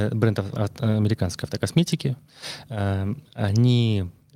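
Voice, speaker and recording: A man speaks at a very slow pace with a fairly low pitch. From Russia, Murmansk. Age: 30s. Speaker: detailing products consultant. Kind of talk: casual interview. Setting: studio.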